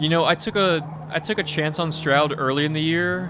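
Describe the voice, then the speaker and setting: Talking at a fairly quick pace, a man has an American accent. Audible room echo and noticeable background noise surround him. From US South, Georgia. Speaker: gaming streamer. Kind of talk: casual chat. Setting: live stream at home. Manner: casual; soft-spoken.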